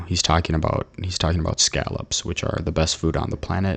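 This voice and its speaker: A man's very deep, low voice, monotone and flat in intonation, at a moderate pace. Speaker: YouTuber. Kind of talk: casual monologue. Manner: hesitant, repeats words.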